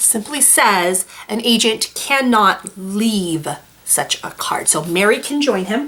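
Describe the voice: The text is read aloud plainly. Its pitch moves in a lively way.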